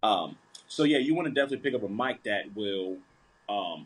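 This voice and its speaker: At a moderate pace, a man with an American accent talks with ordinary pitch variation. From US, rural Appalachian area. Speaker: country singer and comedy content creator. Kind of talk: casual interview chat.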